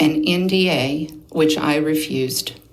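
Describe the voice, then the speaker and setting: In an American accent, a woman speaks with ordinary pitch variation over noticeable background noise and audible room echo. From Oklahoma, Osage County. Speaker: abuse survivor testifying. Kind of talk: testimony. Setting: legislative committee hearing. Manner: reading prepared notes.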